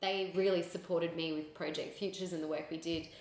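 A woman with an Australian accent at a fairly quick pace, over noticeable background noise. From Sydney, Australia. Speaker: charity founder and communications director. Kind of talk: interview.

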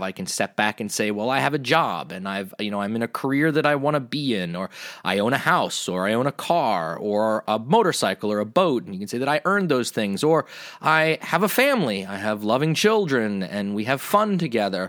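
In an American accent, a man talks at a fairly quick pace with hardly any pauses and very wide pitch swings. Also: medium pitch for a man. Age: 40s. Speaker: podcast host. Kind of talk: solo monologue.

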